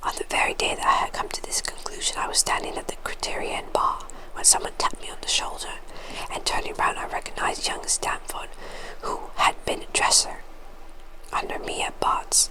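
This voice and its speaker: A woman whispering in a soothing tone at a fairly quick pace, with noticeable background noise. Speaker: ASMR creator. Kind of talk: book narration, reading aloud. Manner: whispered, soothing, soft.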